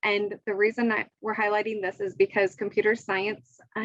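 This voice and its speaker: An unremarkable speaking voice at a moderate pace, in a dry, close sound with no echo. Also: woman. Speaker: education official. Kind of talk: presentation.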